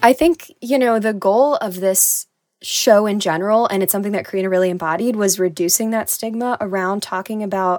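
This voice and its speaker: In an unremarkable speaking voice, a woman at medium pitch talks at a moderate pace with ordinary pitch variation, recorded very cleanly against a silent background in a dry, close sound with no echo. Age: 20s. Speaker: podcast co-host. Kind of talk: casual chat.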